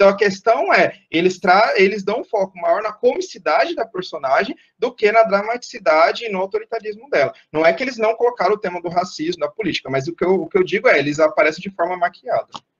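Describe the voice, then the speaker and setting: Very fast, animated talk from a man with a Brazilian accent, high-pitched and lively in intonation, with hardly any pauses and a dry, close sound free of echo. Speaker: guest lecturer. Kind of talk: online lecture.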